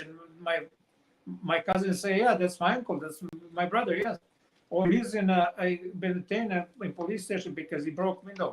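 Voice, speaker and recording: A man's high voice with a Montenegrin accent, fairly even intonation, and long, frequent pauses. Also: moderate pace. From Montenegro. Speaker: author. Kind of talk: interview answer.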